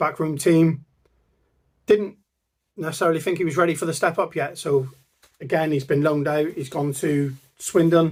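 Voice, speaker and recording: A man with a Plymouth accent speaks at a moderate pace, leaving long, frequent pauses. His pitch is fairly high and his intonation fairly even. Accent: Janner (Plymouth). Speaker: football fan channel co-founder. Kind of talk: casual vlog monologue.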